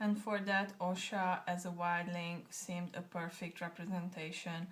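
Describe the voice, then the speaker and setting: Her voice somewhat breathy and fairly low, a woman speaks with monotone, flat intonation. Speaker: tarot deck creator. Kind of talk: casual talk to camera. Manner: choppy, halting.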